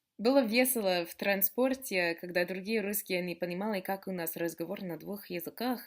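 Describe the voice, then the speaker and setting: A woman with an American accent and medium pitch speaks with hardly any pauses and big swings in loudness. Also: ordinary pitch variation, moderate pace. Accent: American accent in Russian. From USA. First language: English (speaking Russian). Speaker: vlogger. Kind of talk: casual chat. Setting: sitting on the floor at home. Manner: animated.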